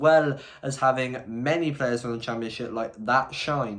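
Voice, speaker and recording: With an English accent, a man speaks at a moderate pace with ordinary pitch variation. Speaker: football youtuber. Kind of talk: vlog-style predictions monologue.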